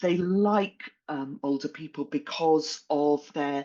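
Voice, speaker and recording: A woman speaks with lively intonation. Her pitch is very deep and low. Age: 60s. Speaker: executive coach and author. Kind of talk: interview conversation.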